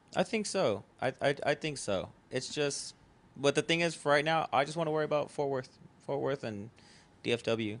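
In a quiet background, a man talks at a moderate pace with a fairly high pitch. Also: ordinary pitch variation. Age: 20s. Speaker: festival founder and show promoter. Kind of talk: casual chat. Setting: living room couch.

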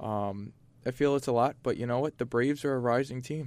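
Medium-tempo speech, with a very clean recording and total background silence. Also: man. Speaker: sports talk co-host. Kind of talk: sports talk panel.

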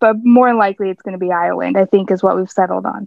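The voice belongs to a woman with a medium pitch. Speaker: podcast guest. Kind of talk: casual chat.

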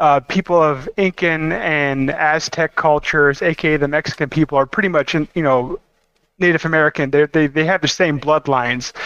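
A man has a normal speaking voice, fairly high in pitch, with fairly even intonation at a moderate pace. The sound is dry and close, with no echo. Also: very even loudness. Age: 30s. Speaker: podcast co-host. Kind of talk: casual chat.

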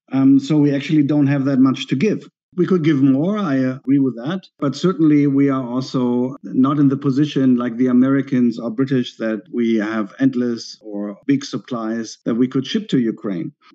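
Speaking with a German accent, a man uses a medium pitch and a dark, mellow tone, with ordinary pitch variation and hardly any pauses. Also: moderate pace. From Germany. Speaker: historian. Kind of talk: interview.

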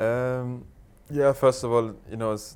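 With a German accent, a man talks at a moderate speed. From Germany, Berlin. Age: 20s. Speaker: professional footballer. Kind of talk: interview. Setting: studio.

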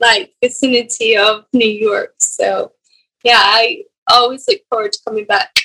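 A woman with a high pitch in a dry, close sound with no echo. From Scotland. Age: 20s. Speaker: professional golfer. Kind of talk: casual chat.

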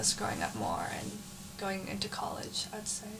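A woman speaks at a moderate speed and medium pitch while noticeable background noise fills the recording. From San Jose, California. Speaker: college student. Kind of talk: casual chat.

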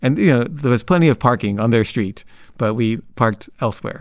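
Speaking with an American accent, a man keeps a fairly quick pace at medium pitch with ordinary pitch variation. The recording is very clean, with a silent background. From Los Angeles, US. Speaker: storyteller. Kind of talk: personal storytelling. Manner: casual, halting with repetitions.

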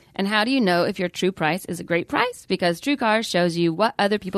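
A woman of medium pitch with a Southern US accent, lively intonation and a fairly quick pace, dry and close with no echo against a quiet background. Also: hardly any pauses. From Atlanta, Georgia. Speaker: comedian and podcast host. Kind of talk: casual banter.

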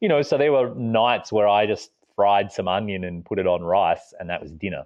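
With an Australian accent, a man talks at a moderate pace in a fairly low pitch, his pitch varying in an ordinary way. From Australia, small town. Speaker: overland traveller and author. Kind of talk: interview.

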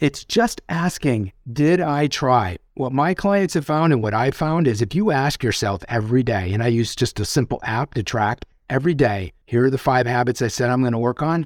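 An unremarkable speaking voice moves at a moderate pace with lively intonation. There are hardly any pauses. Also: man, medium pitch for a man. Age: 50s. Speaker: author and executive coach. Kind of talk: interview.

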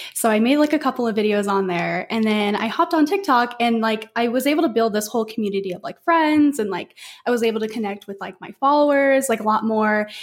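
Speaking at a very fast pace with hardly any pauses, a woman sounds animated, her fairly high voice showing ordinary pitch variation. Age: 20s. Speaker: social media content creator. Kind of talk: casual chat.

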